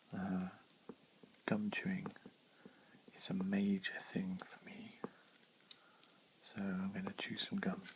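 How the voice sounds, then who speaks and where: A soft-spoken man talks at a very slow pace with long, frequent pauses. His loudness swings widely, and background noise is noticeable. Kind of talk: ASMR ramble while chewing gum.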